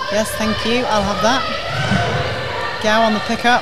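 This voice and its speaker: Loud background noise surrounds a woman speaking very slowly. Her fairly high voice is monotone, with flat intonation. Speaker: netball commentator and host. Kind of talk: live netball commentary. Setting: live at sports arena. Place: hall.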